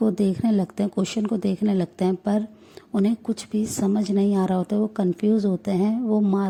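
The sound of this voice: Fairly even in intonation, this is an unforced reading voice.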